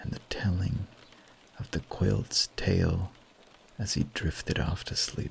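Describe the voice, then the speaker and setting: A man whispers in a soothing tone at a fairly slow pace, leaving long, frequent pauses. Noticeable background noise can be heard. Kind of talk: bedtime story reading. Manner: soothing, soft-spoken.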